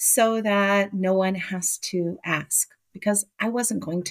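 The woman's voice is medium in pitch, with ordinary variation. The sound is dry and close, without echo. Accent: American. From Miami, Florida. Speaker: college professor and keynote speaker. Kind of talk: interview.

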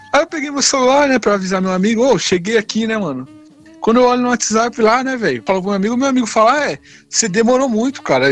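Lively intonation marks this man's speech. His pace is very fast and his pitch high. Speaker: podcast host. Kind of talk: casual chat.

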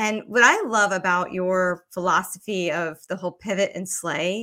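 A woman with an American accent, medium in pitch and bright, sharp in tone, at a fairly slow pace with ordinary pitch variation, in a very clean recording with a silent background. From Georgia, US. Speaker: podcast host. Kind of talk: interview.

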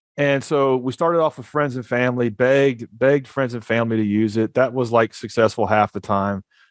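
Speaking fairly quickly with an American accent, a man uses an unremarkable speaking voice at medium pitch. The sound is dry and close with no echo, and his intonation stays fairly even. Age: 40s. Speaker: startup founder. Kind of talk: podcast interview. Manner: fast, with many repeated words.

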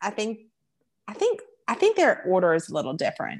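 Her pitch fairly high, a woman with a Southern US accent speaks at a moderate pace. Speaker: podcast host. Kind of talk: casual chat.

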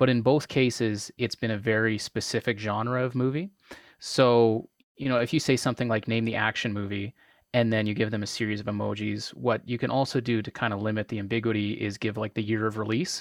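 This is an unremarkable speaking voice with a Canadian accent, moving at a fairly quick pace. The intonation is fairly even and the sound is dry and close with no echo. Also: man, medium pitch for a man. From Canada. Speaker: trivia host. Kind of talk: casual chat.

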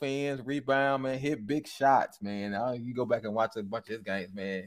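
A normal speaking voice with an American accent, moderate pace and ordinary pitch variation, on a very clean recording with a silent background. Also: man. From Michigan. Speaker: podcast host guest. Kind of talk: casual chat.

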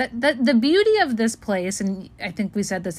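With an American accent, a woman in an ordinary speaking voice talks at a moderate pace and a fairly high pitch. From Los Angeles. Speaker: podcast co-host. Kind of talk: casual chat.

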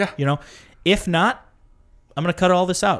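The man's voice is high in pitch, with an American accent. The recording is very clean, with a silent background. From northern Illinois. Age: 20s. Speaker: podcast host. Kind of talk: casual chat.

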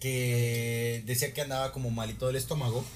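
The speech is fairly slow and delivered in a Mexican accent. Audible room echo and noticeable background noise surround it. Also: man. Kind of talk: casual chat.

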